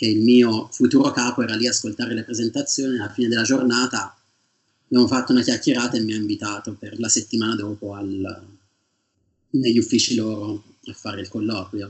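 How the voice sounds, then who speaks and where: The man's voice sits at a medium pitch. His intonation is flat and monotone. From Tuscany, Italy (province of Siena). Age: 30s. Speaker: PhD student in geology. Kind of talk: interview.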